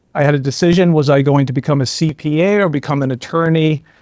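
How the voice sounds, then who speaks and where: A man with a fairly high pitch speaks at a moderate pace with fairly even intonation in a very clean recording with a silent background. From Ireland. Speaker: trial lawyer. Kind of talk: podcast interview.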